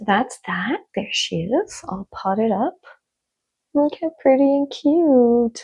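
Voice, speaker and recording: A woman speaks at a high pitch with very wide pitch swings. Her pace is very slow. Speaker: plant vlogger. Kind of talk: casual vlog. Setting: home plant room. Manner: whispering to avoid waking someone.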